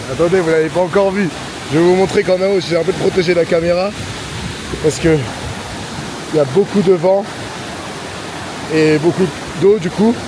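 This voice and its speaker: Over noticeable background noise, the speaker keeps a very even loudness at a moderate pace, with long, frequent pauses. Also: man, high pitch for a man. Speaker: travel vlogger. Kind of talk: travel vlog narration to camera. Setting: outdoors at a waterfall. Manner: animated.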